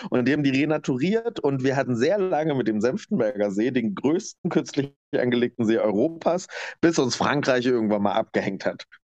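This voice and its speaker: A man with a normal speaking voice and a medium pitch talks at a fairly quick pace, keeping his loudness very even while his intonation stays lively. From eastern Germany, Lower Lusatia (Brandenburg). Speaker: interviewee, former dance teacher. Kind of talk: interview, personal life story.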